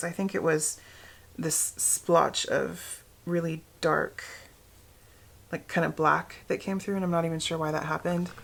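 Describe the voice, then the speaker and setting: A woman speaks in an American accent. She goes at a fairly slow pace. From Pacific Northwest, United States. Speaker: knitter and natural dyer. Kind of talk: casual talk to camera.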